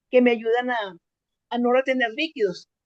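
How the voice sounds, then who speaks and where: Her voice sits high in pitch. The woman keeps to a moderate pace. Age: 70s. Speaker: workshop participant. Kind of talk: testimony. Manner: halting.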